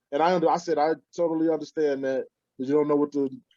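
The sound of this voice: Fast and fairly high-pitched, a man speaks with a dark, mellow tone and fairly even intonation.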